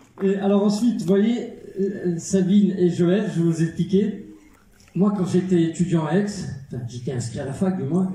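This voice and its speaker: A man's high-pitched voice at a fairly slow pace, with audible room echo. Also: ordinary pitch variation. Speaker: actor and filmmaker. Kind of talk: film premiere Q&A.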